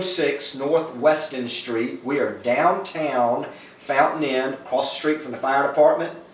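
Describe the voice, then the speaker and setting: Talking at a fairly slow pace, a man speaks with a Southern US accent. Audible room echo and noticeable background noise surround him. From US South, South Carolina (Sumter). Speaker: pastor. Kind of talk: interview. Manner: hesitant, with frequent fillers.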